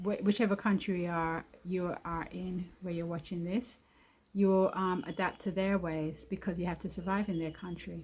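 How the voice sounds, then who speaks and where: Her medium-pitched voice is somewhat breathy, and this woman speaks in a monotone, flat intonation. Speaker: video blogger, returnee to Jamaica. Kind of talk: casual vlog monologue. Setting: outdoors.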